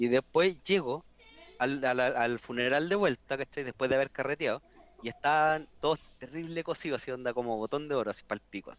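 The speaker talks at a fairly quick pace with a Chilean accent. The pitch varies in an ordinary way. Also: man, fairly high pitch for a man. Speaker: podcast guest. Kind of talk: casual chat.

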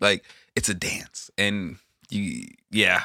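A man with a bright, sharp tone and an American accent, in a very clean recording against a silent background. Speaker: podcast host. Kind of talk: casual chat.

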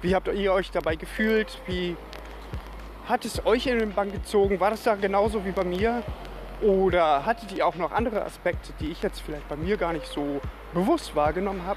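Moderately paced speech from a man, noticeable background noise underneath. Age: 30s. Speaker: podcast host. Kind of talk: casual solo podcast monologue.

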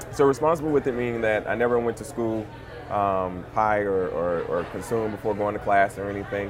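A man speaks in a fairly low pitch with ordinary pitch variation. Audible room echo and noticeable background noise fill the recording. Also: fairly quick pace. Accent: American. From Louisiana (Monroe). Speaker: cannabis entrepreneur, former engineer. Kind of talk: casual interview.

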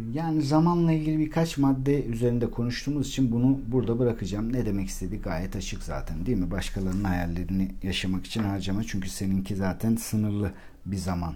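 A man's fairly quick, medium-pitched voice with lively intonation and hardly any pauses, amid audible room echo and noticeable background noise. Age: 40s. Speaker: life coach and podcaster. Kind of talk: solo monologue podcast.

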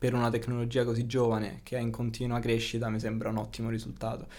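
A man with a medium pitch delivers his words in a monotone, flat intonation at a fairly quick pace. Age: 20s. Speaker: video game programming student. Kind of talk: casual interview chat.

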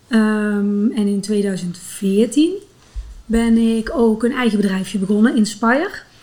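The tone is dark, mellow and somewhat breathy. Delivery is very slow, with ordinary pitch variation. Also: woman, fairly high pitch for a woman. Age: 40s. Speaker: physiotherapist and runner. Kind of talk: interview.

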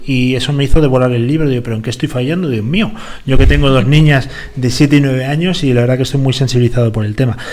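Speaking very rapidly, a man's voice carries audible room echo amid noticeable background noise. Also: medium pitch for a man. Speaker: radio host. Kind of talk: casual chat. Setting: studio. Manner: animated.

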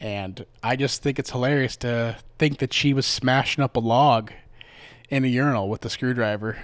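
A relaxed man with a Midwestern American accent, fairly even intonation, a moderate pace, and a very clean recording with a silent background. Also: medium pitch for a man. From US Midwest. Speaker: podcast host. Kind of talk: casual storytelling. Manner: relaxed, filler-heavy.

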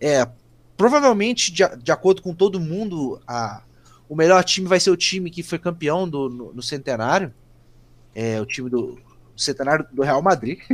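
On a very clean recording with a silent background, a man speaks at a moderate pace and fairly high pitch, with lively intonation, big swings in loudness, and long, frequent pauses. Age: 20s. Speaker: football fan page administrator. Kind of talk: casual chat.

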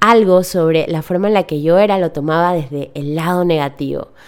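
A woman with a warm, enthusiastic tone speaks at a moderate pace, her fairly low pitch moving with ordinary variation. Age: 30s. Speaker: business coach and podcast host. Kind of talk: solo podcast monologue. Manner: warm and enthusiastic.

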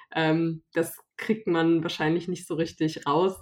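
A woman with a fairly low pitch speaks with monotone, flat intonation. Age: 20s. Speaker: youth party politician. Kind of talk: interview.

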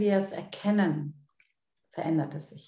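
A woman is speaking. There is some breathiness to her voice. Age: 50s. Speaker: coach and seminar leader. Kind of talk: interview.

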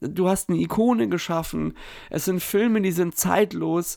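In a very clean recording with a silent background, a man talks fairly slowly at a high pitch with lively intonation. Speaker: podcast host. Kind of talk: casual chat. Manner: halting, many fillers.

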